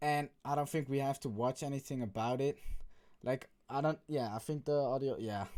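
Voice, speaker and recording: Speaking with a Dutch accent, a man keeps a moderate pace, a fairly high pitch, fairly even intonation, and very even loudness. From Netherlands. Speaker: YouTuber. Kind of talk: casual vlog commentary. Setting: bedroom.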